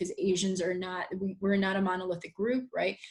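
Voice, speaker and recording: Somewhat breathy and medium in pitch, a woman speaks at a fairly quick pace. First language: not English. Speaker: high school teacher. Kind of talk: podcast conversation. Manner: halting, many fillers and repetitions.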